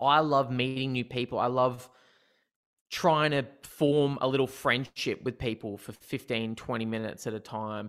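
On a very clean recording with a silent background, a man with an Australian accent and fairly high pitch talks at a moderate pace. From Newcastle, New South Wales, Australia. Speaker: comedian. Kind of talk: casual interview.

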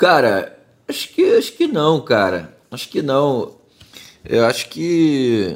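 A man with a Rio de Janeiro accent, talking at a very slow pace. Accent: Carioca Brazilian Portuguese. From Rio de Janeiro, Brazil. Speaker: rapper. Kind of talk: casual chat.

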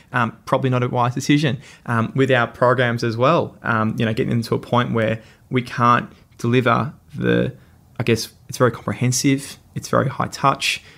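A man with an Australian accent speaks at a moderate pace, his medium pitch carrying vocal fry and fairly even intonation. The recording is very clean, with a silent background. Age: 20s. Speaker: social enterprise CEO. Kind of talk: interview.

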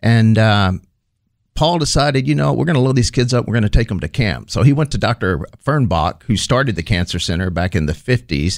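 A man with a Texan accent speaks at a fairly quick pace, his fairly low pitch swinging very widely. The recording is very clean, with a silent background. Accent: Texan American. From northeast Texas (Texarkana). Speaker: charity executive director. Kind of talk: interview.

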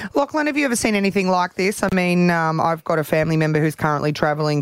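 A woman with an Australian accent, very fast pace and fairly even intonation. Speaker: radio host. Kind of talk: casual radio banter.

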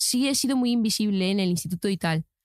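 On a very clean recording with a silent background and a dry, close sound with no echo, a woman talks very fast with lively intonation. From Spain, small town. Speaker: TikTok content creator. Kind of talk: casual interview chat. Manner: animated.

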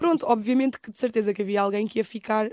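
A woman's dark, mellow voice with a European Portuguese accent, very fast, on a very clean recording with a silent background. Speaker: youtuber. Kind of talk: casual chat.

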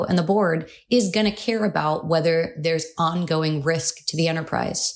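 A woman's fairly low voice, with pitch varying in an ordinary way, comes through a very clean recording against a silent background. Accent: Californian. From California. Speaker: cybersecurity lawyer. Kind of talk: professional podcast discussion.

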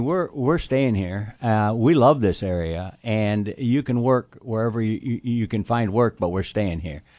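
This man has an American accent and a medium pitch. He talks at a fairly slow pace with lively intonation and hardly any pauses. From US Midwest (Toledo, Ohio). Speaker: school board candidate. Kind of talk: radio interview. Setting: studio. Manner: halting, many fillers.

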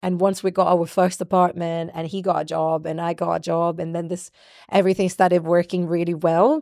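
A woman's fairly low, dark and mellow voice, fairly quick and flat in a monotone. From Brazil. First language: Portuguese. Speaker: singer and songwriter. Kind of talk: interview. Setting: video recording. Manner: loud.

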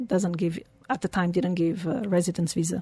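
A woman speaks with a Portuguese accent at a medium pitch, somewhat breathy. Her moderate pace comes through on a very clean recording with a silent background. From Portugal. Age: 40s. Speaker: humanitarian and founder of a charity foundation, record-setting athlete. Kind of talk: casual interview chat. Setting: radio studio.

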